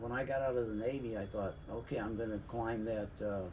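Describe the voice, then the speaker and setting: Fairly even intonation with audible room echo and noticeable background noise. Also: man. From US Midwest, St. Louis. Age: 80s+. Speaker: navy veteran and city worker sharing experiences. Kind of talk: casual monologue, personal storytelling. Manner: halting, many fillers.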